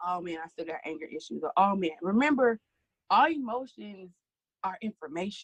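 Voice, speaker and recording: A woman's animated voice at a moderate pace, with ordinary pitch variation and a dry, close sound with no echo. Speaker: singer, speaker and author. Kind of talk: casual chat.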